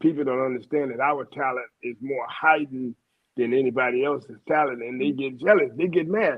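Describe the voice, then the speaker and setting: Speaking with a Louisiana accent, a man talks at a moderate pace and medium pitch. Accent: Southern US (Louisiana). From Louisiana, US South. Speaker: radio host. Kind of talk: interview.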